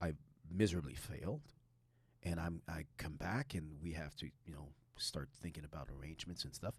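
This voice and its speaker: A man's very deep, low voice with vocal fry, at a fairly quick pace. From Quebec. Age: 60s. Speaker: high school teacher and former elite soccer player. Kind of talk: podcast interview. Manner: animated.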